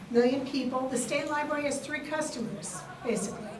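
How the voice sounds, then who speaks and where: Recorded with noticeable background noise and audible room echo, a woman speaks at a moderate pace in a high pitch with ordinary pitch variation. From New York City, Queens. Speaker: state library official. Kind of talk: conference panel talk.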